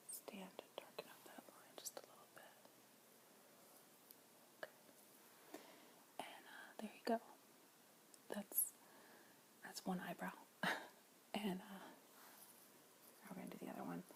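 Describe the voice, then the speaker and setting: A woman whispers at a moderate pace, with big swings in loudness and long, frequent pauses. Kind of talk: ASMR makeup tutorial, whispered to camera. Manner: whispered, soft-spoken.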